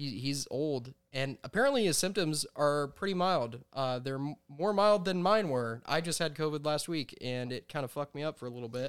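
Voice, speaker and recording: A man in a plain, everyday voice talks at a moderate pace with hardly any pauses on a very clean recording with a silent background. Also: fairly high pitch for a man. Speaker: podcast host. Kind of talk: casual comedic banter. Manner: deadpan, sarcastic.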